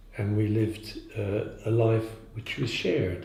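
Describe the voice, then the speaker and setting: The voice is somewhat breathy and moves at a fairly slow pace. Audible room echo surrounds it. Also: man. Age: 70s. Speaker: zen teacher. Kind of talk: dharma talk. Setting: meditation day talk in Prague. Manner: halting.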